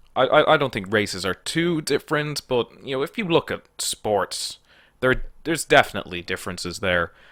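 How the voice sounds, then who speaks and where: An Irish accent with vocal fry, very wide pitch swings and a bright, sharp tone. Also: man, medium pitch for a man, moderate pace. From Ireland. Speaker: online political commentator. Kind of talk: casual solo commentary taking an online quiz. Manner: halting, many fillers and repeated words; plain own voice, no comedic put-on voice.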